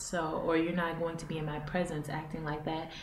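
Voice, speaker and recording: Noticeable background noise, plus audible room echo. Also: woman. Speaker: vlogger, mother living abroad. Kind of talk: casual vlog talk to camera. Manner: loud; animated.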